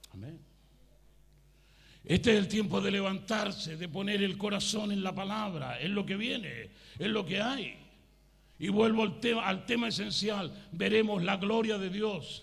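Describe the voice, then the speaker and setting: A man with a high pitch speaks at a fairly slow pace, leaving long, frequent pauses. Audible room echo surrounds his voice. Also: ordinary pitch variation. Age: 60s. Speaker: pastor. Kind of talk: sermon. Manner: animated.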